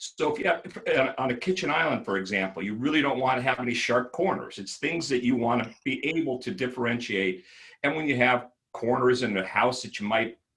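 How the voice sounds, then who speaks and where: Medium in pitch, a man talks in a plain, everyday voice at a moderate pace with ordinary pitch variation. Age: 60s. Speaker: architect. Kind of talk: interview.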